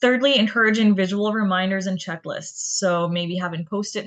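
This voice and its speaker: A woman talks at a moderate pace with fairly even intonation in an unremarkable speaking voice. The sound is dry and close with no echo. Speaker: community outreach specialist giving a talk. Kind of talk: educational presentation.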